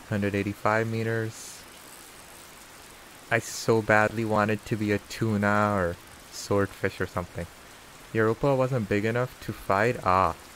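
Over noticeable background noise, a man with a fairly low pitch talks at a fairly slow pace, with fairly even intonation and long, frequent pauses. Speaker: game streamer. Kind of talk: live gameplay commentary. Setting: live stream. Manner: loud, shouting over rain.

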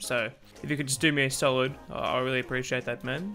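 A man rattles off his words very quickly. Behind him, music is playing. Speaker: YouTuber, game streamer. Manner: casual, joking, persuasive.

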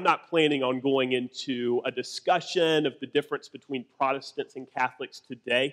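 Over a quiet background, the man's pitch shifts in an ordinary way. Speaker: pastor. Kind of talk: sermon. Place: church.

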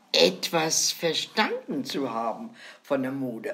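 A woman's pitch swings very widely. Noticeable noise runs in the background. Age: 90s. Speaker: grandmother storyteller. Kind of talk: casual chat.

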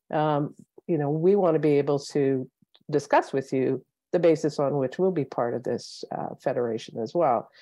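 A woman with a Canadian accent speaks at a very deep, low pitch and a moderate pace, with a quiet background and a dry sound with no echo. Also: ordinary pitch variation. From Northwest Territories, Canada. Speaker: former public servant, policy fellow; panel expert. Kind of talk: panel talk. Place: home room. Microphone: earbuds.

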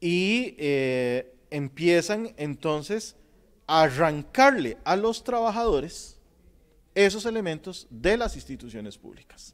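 Pitched high, a man speaks at a very slow pace, his pitch swinging very widely and his loudness changing a lot. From Costa Rica. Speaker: sociology professor. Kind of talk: panel talk. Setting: auditorium with audience. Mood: thoughtful, explanatory. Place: studio.

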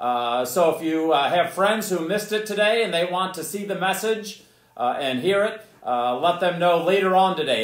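Against a quiet background with audible room echo, a man speaks at a moderate pace with lively intonation. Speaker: pastor. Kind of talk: sermon. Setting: church. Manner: loud. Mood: warm, friendly. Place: church. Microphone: camera far.

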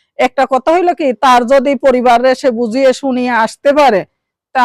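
A woman's high pitch with ordinary variation, in a dry, close sound with no echo. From Bangladesh, Dinajpur. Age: 20s. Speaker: garment factory worker, single mother seeking marriage. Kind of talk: interview.

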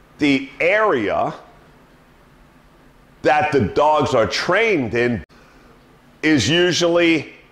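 Over audible room echo, a man speaks at a very slow pace with long, frequent pauses. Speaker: dog trainer. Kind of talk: tutorial. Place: home room. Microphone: camera far.

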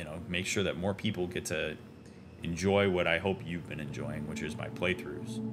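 Background music behind a man at a moderate pace, his pitch very deep and low, with ordinary variation in pitch. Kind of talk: casual gameplay commentary. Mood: friendly, upbeat. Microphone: studio mic.

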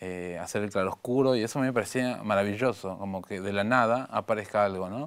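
A man with a fairly low voice speaks at a moderate pace with ordinary pitch variation against a quiet background. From Argentina, San Miguel de Tucumán; Argentina. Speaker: visual artist; guest. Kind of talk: interview. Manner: halting. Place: studio. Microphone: lapel.

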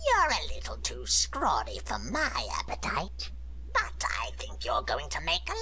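Someone speaks in a put-on character voice at a fairly slow pace, with clear background noise. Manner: menacing, sizing up a victim.

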